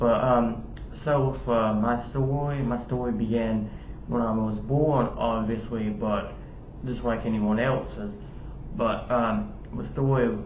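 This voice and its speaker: Over noticeable background noise and audible room echo, a man at medium pitch talks at a fairly slow pace with fairly even intonation. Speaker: YouTuber. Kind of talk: personal testimony. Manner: halting, many fillers.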